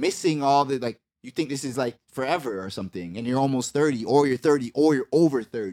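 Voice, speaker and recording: A man speaks in a plain, everyday voice at a medium pitch, fairly quick and with hardly any pauses, his intonation lively and the sound dry and close with no echo. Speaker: rapper. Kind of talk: casual interview chat.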